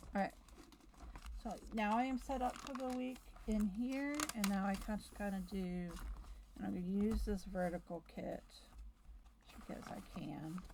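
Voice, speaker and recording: The speech moves at a fairly slow pace with ordinary pitch variation and long, frequent pauses over noticeable background noise. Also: woman, medium pitch for a woman. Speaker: planner video creator. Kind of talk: casual chat. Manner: chatty.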